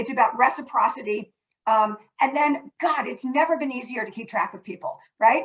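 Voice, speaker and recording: A woman with a high pitch and ordinary pitch variation shows big swings in loudness. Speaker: nonprofit corporate partnerships executive. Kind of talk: panel discussion. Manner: fast.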